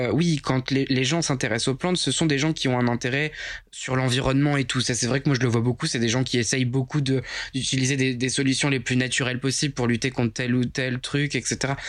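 In an ordinary speaking voice, a man speaks at a fairly quick pace with medium pitch, fairly even intonation and very even loudness. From Picardy, northern France. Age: 20s. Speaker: plant influencer. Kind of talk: casual chat.

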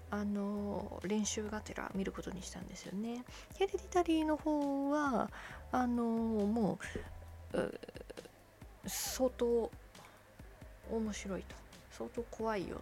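Against noticeable background noise, a woman speaks at a very slow pace with long, frequent pauses. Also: big swings in loudness. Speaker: solo podcaster reviewing films. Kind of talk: casual monologue. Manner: rambling, conversational.

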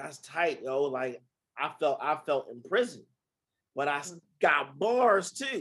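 A man with a Baltimore accent speaks at a fairly high pitch and a fairly slow pace. His pitch swings very widely, and he leaves long, frequent pauses. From Baltimore, US. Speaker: poet and author.

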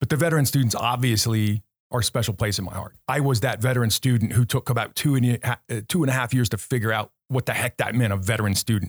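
A somewhat breathy man talks at a very fast pace with ordinary pitch variation. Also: medium pitch for a man, dry, close sound with no echo. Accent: American. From Southern California (Orange County, Anaheim). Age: 50s. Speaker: business consultant and military veteran. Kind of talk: casual interview conversation.

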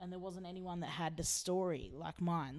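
Audible room echo surrounds a woman speaking with an Australian accent. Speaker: singer-songwriter. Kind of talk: interview. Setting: backstage at a gig.

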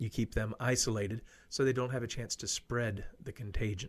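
In a very clean recording with a silent background, a man with an American accent talks at a moderate pace, somewhat breathy, with fairly even intonation. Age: 50s. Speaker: radio host. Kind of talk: casual talk show monologue.

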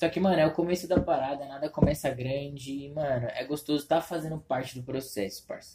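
A man talks at a fairly quick pace with hardly any pauses and a fairly high pitch. He has an ordinary speaking voice. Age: 20s. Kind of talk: casual chat.

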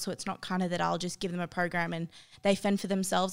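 A woman with an Australian accent talks at a very fast pace and medium pitch. The recording is very clean, with a silent background. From Australia, New South Wales (Tamworth). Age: 20s. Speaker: gym owner and personal trainer. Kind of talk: casual interview.

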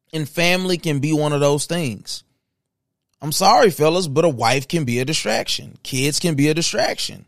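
A man speaks in a fairly high voice at a moderate pace. His tone is animated, with ordinary pitch variation. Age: 30s. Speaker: podcast host. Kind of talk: casual monologue. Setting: studio.

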